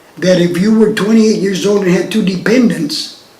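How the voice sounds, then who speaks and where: A man talks in a high pitch with fairly even intonation. Audible room echo and noticeable background noise are present. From Texas, New Braunfels. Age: 70s. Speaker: retired lab technologist. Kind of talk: oral history interview.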